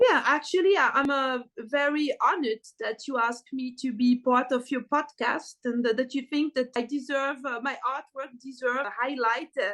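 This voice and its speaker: The speaker has a French accent and talks at a moderate pace with hardly any pauses. Pitch varies in an ordinary way. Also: woman, high pitch for a woman. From French-speaking Switzerland. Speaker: artist. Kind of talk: podcast interview. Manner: hesitant, many fillers.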